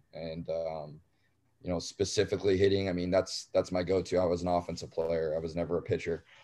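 A man talks at a fairly quick pace in a very deep, low pitch with a dark, mellow tone. His intonation is monotone and flat, against a quiet background. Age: 30s. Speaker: college baseball coach. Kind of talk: interview. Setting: hotel room.

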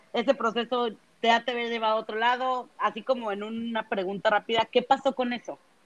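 In a plain, everyday voice, a woman with a fairly high pitch speaks at a moderate pace with fairly even intonation and a dry, close sound with no echo. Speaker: podcast co-host. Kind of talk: casual chat.

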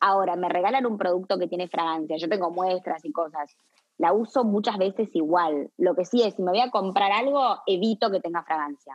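Speaking with a Rioplatense accent, a woman keeps a medium pitch with ordinary variation. Her pace is fairly quick. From Uruguay, Montevideo. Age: 30s. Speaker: skincare brand founder. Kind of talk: interview. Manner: halting.

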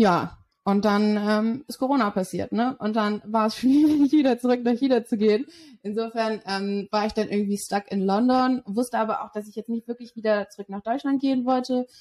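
Speaking in a plain, everyday voice, a woman talks at a moderate pace with a fairly high pitch and fairly even intonation, her sound dry and close with no echo. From Germany, Berlin. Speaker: sales development representative. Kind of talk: interview.

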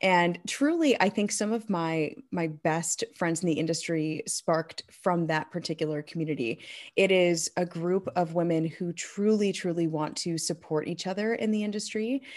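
With a US Midwestern accent, a woman speaks at a moderate pace with hardly any pauses, her fairly low pitch showing ordinary variation, on a very clean recording with a silent background. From Michigan, US. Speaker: keynote speaker and event emcee. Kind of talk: interview conversation.

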